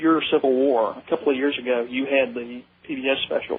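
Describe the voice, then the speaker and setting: Here a man with a Southern US accent speaks at a moderate pace. His fairly high-pitched voice keeps a fairly even intonation. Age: young. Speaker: caller. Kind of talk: call-in radio conversation. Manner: halting, many fillers.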